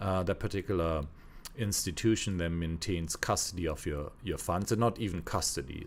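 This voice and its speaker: With a non-native accent, a man speaks fairly quickly in a very deep, low voice with fairly even intonation, captured in a very clean recording with a silent background. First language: not English. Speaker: podcast co-host. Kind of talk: casual discussion. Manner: halting, with frequent false starts.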